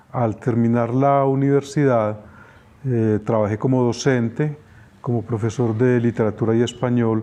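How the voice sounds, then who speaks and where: A man speaks at medium pitch and a fairly slow pace, his tone dark and mellow, his loudness very even and his intonation fairly even. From Colombia, Girardota (Antioquia). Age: 70s. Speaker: painter. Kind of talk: interview.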